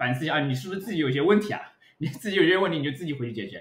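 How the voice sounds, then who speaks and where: Ordinary pitch variation runs through a man's high-pitched voice. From Shanghai. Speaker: art lecturer. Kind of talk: casual podcast discussion. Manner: hesitant, many fillers.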